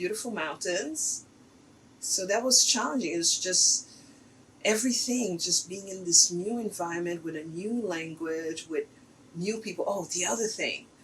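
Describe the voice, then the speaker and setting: A woman talks at a fairly slow pace with ordinary pitch variation. Noticeable background noise is present. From Haiti. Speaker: artist. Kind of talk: interview.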